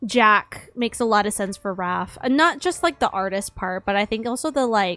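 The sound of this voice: Unforced voice reading aloud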